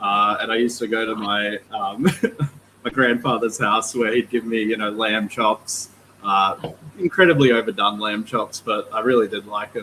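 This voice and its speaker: A man with an Australian accent, a moderate pace and ordinary pitch variation. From Australia, northern NSW (Mullumbimby, Byron Bay). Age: 30s. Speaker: aquarium store owner. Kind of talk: livestream interview, casual chat.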